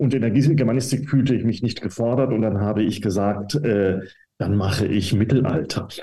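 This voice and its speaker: With audible room echo, a man of medium pitch speaks at a moderate pace and very even loudness, his dark, mellow tone somewhat breathy and his pitch variation ordinary. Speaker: professor of medieval German studies. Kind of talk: interview. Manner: hesitant, many fillers.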